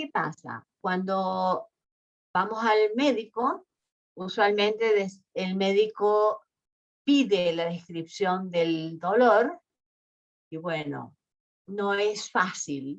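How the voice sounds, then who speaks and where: A woman speaks very slowly in an Argentine accent, with long, frequent pauses. Her voice sits at medium pitch with ordinary pitch variation. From Argentina. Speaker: university researcher. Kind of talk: lecture. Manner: hesitant, many fillers.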